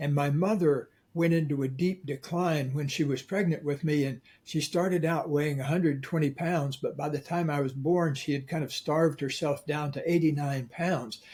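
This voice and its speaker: A man speaks at a moderate pace with hardly any pauses, his voice somewhat breathy. His pitch is fairly high, and his intonation is fairly even. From Florida. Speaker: author and coach. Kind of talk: interview.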